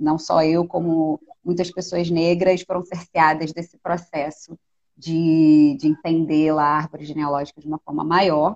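A woman speaks fairly slowly at a very deep, low pitch. Her intonation is monotone and flat. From Rio de Janeiro, North Zone suburb. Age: 30s. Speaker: filmmaker. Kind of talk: interview conversation. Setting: online live stream.

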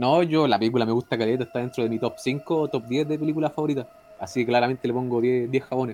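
A man speaks very fast at a medium pitch. His intonation stays fairly even. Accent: Chilean. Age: 20s. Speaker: podcast co-host. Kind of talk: casual chat, film review.

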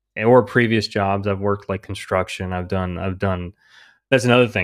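Fairly even intonation from a man with a plain, everyday voice and a fairly low pitch, on a very clean recording with a silent background. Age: 30s. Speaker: comic book writer. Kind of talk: interview.

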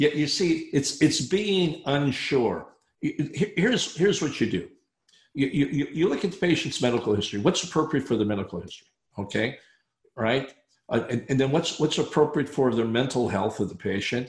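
A man's somewhat breathy, fairly high voice at a moderate pace, with lively intonation over a quiet background. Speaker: dentist turned speaker and consultant. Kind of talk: casual chat. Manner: broad expressive range.

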